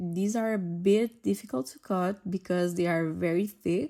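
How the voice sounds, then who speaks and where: This woman has a fairly low pitch and a dark, mellow tone. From Portugal. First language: Portuguese. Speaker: nail artist. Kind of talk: tutorial. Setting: at home. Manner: casual, chatty.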